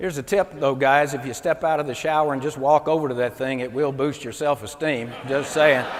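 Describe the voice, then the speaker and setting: A man's fairly high voice at a fairly quick pace, hardly any pauses, against noticeable background noise. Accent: Mississippi. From US South, Mississippi. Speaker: comedian and motivational speaker. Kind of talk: stand-up comedy keynote. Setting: stage with audience at a convention. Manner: animated.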